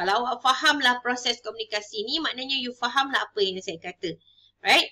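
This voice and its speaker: A woman's high-pitched voice with a bright, sharp tone over a quiet background. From Malaysia. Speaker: university lecturer. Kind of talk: lecture. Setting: recorded online video lesson. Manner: code-switching English and Malay. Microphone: webcam.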